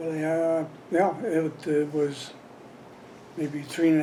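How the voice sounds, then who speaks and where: Speaking at a fairly slow pace, a man with an American accent has a fairly high pitch and a dark, mellow tone. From Colorado, Windsor area. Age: 70s. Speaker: longtime local resident, former volunteer fireman. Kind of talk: oral history interview. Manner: halting, many fillers.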